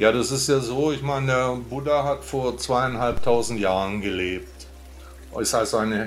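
Lively intonation marks this man's medium-pitched voice. Audible room echo surrounds it. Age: 50s. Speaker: Buddhist monk and podcaster. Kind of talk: casual interview conversation. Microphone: good audio setup.

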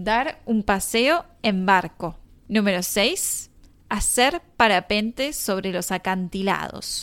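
A woman speaks in a Rioplatense accent at a very slow pace, her medium pitch carried by lively intonation. The recording is very clean, with a silent background. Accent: Argentine Rioplatense Spanish. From Argentina, Mar del Plata. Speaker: Spanish teacher, podcast host. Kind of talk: scripted language-lesson narration. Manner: clear, measured for learners.

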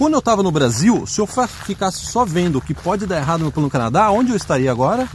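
A man's high-pitched voice with very wide pitch swings and a very fast pace. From Brazil. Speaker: immigration advice video host. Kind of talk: casual Q&A video.

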